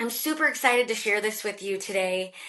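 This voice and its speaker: A woman speaks with a bright, sharp tone. Her pitch is fairly high. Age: 30s. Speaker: podcast host and career coach. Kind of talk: podcast interview; scripted intro.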